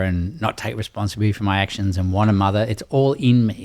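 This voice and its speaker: In an Australian accent, a man with a fairly low pitch talks very fast with fairly even intonation. The recording is very clean, with a silent background. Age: 60s. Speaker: doctor and rites-of-passage mentor. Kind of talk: podcast interview.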